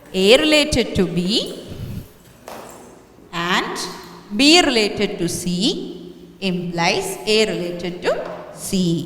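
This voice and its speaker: Amid audible room echo and noticeable background noise, a woman at medium pitch speaks very slowly with lively intonation and long, frequent pauses. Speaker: maths teacher. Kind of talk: lecture.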